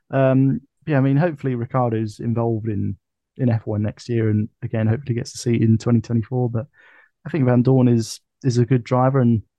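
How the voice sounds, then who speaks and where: A man's medium-pitched voice in a British accent, at a fairly quick pace. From UK. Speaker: F1 podcast co-host. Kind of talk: casual chat. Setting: video call.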